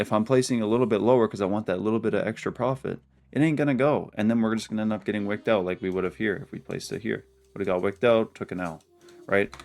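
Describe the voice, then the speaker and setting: Very fast speech comes from a man with a fairly low pitch. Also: ordinary pitch variation. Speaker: forex day trader, trading video creator. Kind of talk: weekly trade review to camera. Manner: casual, filler-heavy.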